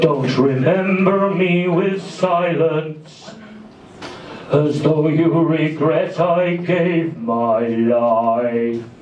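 Speaking at a very slow pace, a man with a fairly high pitch is heard over light background noise with a slight echo. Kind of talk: spoken word poetry reading. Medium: read story. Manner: solemn, measured, mournful.

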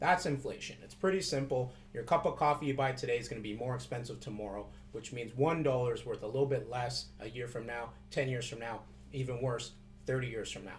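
Music plays behind a man talking at a fairly quick pace. His pitch is medium with ordinary variation, and his loudness swings widely. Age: 30s. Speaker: financial advisor vlogger. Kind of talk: casual video tutorial. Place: office. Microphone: webcam.

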